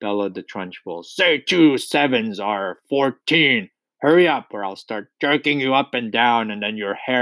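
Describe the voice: With lively intonation, the voice does plain reading aloud while the background stays quiet.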